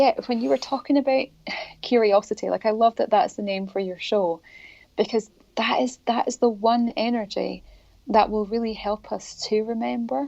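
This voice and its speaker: A woman with a Scottish accent speaks at a moderate pace, her fairly high voice carrying a dark, mellow tone. Her pitch varies in an ordinary way, and the background is quiet. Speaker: spiritual author and healer. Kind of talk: interview.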